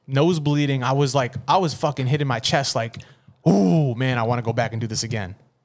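In a very clean recording with a silent background, a man talks at a fairly quick pace in a normal speaking voice, with ordinary pitch variation. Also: medium pitch for a man. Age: 30s. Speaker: podcast host. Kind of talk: casual chat. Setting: studio.

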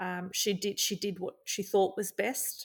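With an Australian accent, a woman speaks at a moderate pace and a medium pitch. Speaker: journalist. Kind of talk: interview. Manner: halting.

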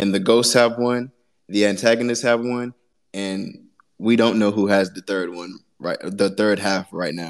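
A man with an unremarkable speaking voice and fairly low pitch talks at a fairly slow pace. His intonation stays fairly even while his loudness swings widely. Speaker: independent musician. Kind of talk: casual chat. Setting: home studio room.

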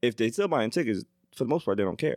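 Very wide pitch swings come through a very clean recording with a silent background and a dry, close sound with no echo. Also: man. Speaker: podcast panelist. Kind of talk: casual chat.

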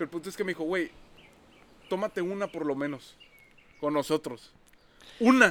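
A man's high voice with lively intonation at a moderate pace, broken by long, frequent pauses. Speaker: podcast co-host. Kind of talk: casual chat. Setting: outdoors.

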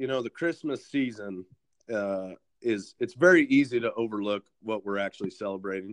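An ordinary speaking voice in an American accent, moderate in pace with ordinary pitch variation. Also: man, dry, close sound with no echo. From Kansas. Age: 30s. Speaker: podcast host. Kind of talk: casual interview.

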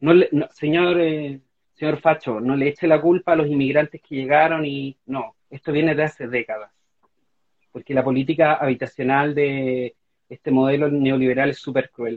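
Intonation is fairly even. The speech keeps a moderate pace. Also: man. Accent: Chilean. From Chile. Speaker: constitutional convention candidate and novelist. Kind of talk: interview. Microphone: unreliable home internet connection.

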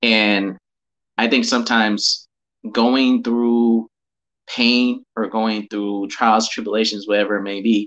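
Here a man talks at a moderate pace and medium pitch. His is an unremarkable speaking voice. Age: 20s. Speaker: business partner of host. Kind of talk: casual chat.

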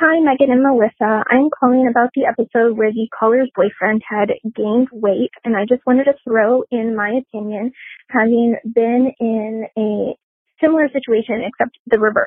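The delivery has an unremarkable speaking voice. It keeps a moderate pace and fairly even intonation. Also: woman, fairly high pitch for a woman. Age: 20s. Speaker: caller. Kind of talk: voicemail.

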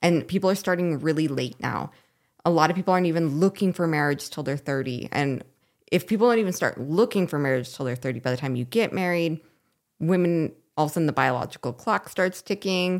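A woman speaks at a fairly quick pace in a normal speaking voice, pitched fairly low. Her intonation is lively. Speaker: podcast co-host. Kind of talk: casual chat.

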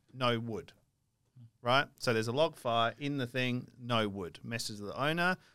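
A man with an Australian accent and a medium pitch, bright, sharp tone, moderate pace and ordinary pitch variation, in a very clean recording with a silent background. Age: 30s. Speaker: financial podcast co-host. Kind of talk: casual chat.

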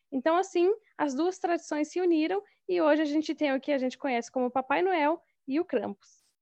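A woman's high-pitched voice at a fairly quick pace, with very even loudness and ordinary pitch variation, the sound dry and close with no echo over a quiet background. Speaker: podcast guest. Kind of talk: casual chat.

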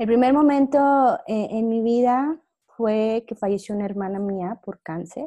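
Her dark, mellow tone sits at a fairly high pitch for a woman, with ordinary pitch variation and a fairly slow pace. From Mexico, Monclova, Coahuila. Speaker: podcast guest, former systems engineer. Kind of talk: casual interview.

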